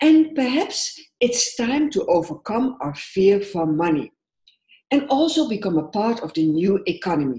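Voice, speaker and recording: A woman speaks at a fairly slow pace with a Dutch accent, her medium-pitched voice dark, mellow and somewhat breathy. Her pitch swings very widely. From Netherlands. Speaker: social work entrepreneur and coach. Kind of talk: conference presentation.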